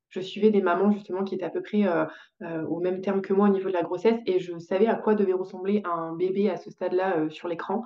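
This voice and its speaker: A woman's very fast speech in a monotone, flat intonation. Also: medium pitch for a woman. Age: 20s. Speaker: podcast guest sharing birth story. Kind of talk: testimony. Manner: halting, many hesitations.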